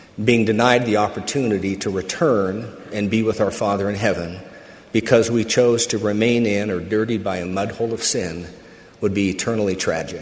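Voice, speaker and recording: Noticeable background noise runs through the clip. A man speaks at a fairly low pitch. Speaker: church speaker. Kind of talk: sermon. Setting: conference pulpit.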